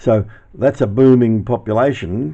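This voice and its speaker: A man speaks with an Australian accent at a fairly low pitch. His tone is dark and mellow, with ordinary pitch variation. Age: 70s. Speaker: YouTuber reminiscing. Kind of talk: casual narration with footage.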